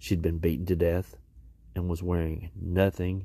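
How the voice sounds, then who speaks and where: Very deep and low, a man's voice moves at a fairly slow pace with a dark, mellow tone and somewhat breathy delivery. His intonation is monotone and flat, yet the tone is dramatic. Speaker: podcast host. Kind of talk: true-crime narration, scripted news-style retelling. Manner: grave, measured, somber; dramatic emphasis, repeats key words ('today, yes, today').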